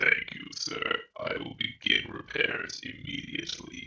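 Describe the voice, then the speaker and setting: A put-on character voice, raspy, is delivered at a fairly slow pace. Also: man, extremely high pitch for a man. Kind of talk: robotic droid speech. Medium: actual play. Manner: formal, precise, emotionless.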